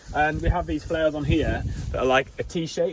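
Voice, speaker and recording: A man against noticeable background noise. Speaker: farmer. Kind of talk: tutorial. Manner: casual, conversational.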